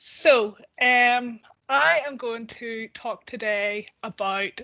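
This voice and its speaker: Her tone is bright and sharp. This woman has a fairly high pitch. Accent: Northern Irish. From Northern Ireland. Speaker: policy researcher at a charity. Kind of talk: online presentation. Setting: video call.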